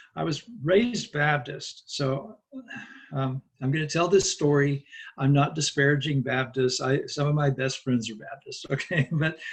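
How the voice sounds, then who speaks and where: Somewhat breathy, a man with an American accent speaks at a moderate pace and a fairly high pitch with ordinary pitch variation. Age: 60s. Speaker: Buddhist monk and teacher. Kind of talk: interview. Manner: conversational, with fillers.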